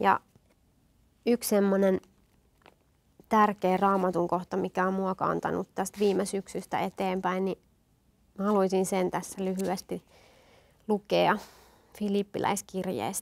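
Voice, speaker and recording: A woman with a slight Satakunta accent speaks at a fairly slow pace with long, frequent pauses. Her intonation is monotone and flat. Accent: slight Rauma dialect. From Finland, Satakunta (Rauma/Eura area), partly eastern Finland; Finland. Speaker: guest. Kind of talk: interview, personal testimony. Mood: warm, smiling, personal. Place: studio. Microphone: lapel.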